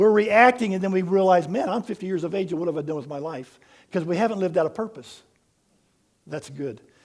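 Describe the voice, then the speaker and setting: This man talks at a very fast pace in a high-pitched, animated tone. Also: ordinary pitch variation. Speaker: pastor. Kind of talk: sermon.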